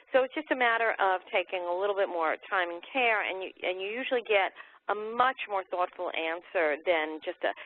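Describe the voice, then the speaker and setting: With lively intonation, an unremarkable speaking voice proceeds at a moderate pace. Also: woman, medium pitch for a woman. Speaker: webinar panelist. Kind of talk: webinar presentation.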